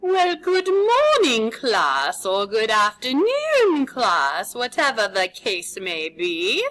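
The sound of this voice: A woman's high-pitched, put-on character voice, very slow and with hardly any pauses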